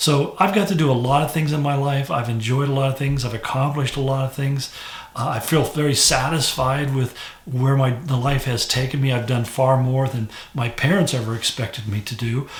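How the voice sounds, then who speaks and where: A man's fairly quick speech, with fairly even intonation, comes through noticeable background noise. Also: medium pitch for a man. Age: 70s. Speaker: pastor. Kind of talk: devotional talk. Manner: conversational, with fillers and restarts.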